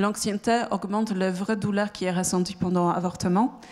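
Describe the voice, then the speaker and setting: At a moderate pace, a woman with a Polish accent talks at medium pitch in a monotone, flat intonation. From Poland. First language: Polish (speaking French). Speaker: startup founder. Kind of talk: pitch presentation. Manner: halting, many hesitations.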